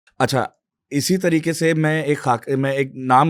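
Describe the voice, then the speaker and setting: Someone with an Urdu accent speaks on a very clean recording against a silent background. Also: man. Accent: Urdu-speaking. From Pakistan, Karachi. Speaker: climate activist and political candidate. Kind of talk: interview discussion. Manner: hesitant with fillers.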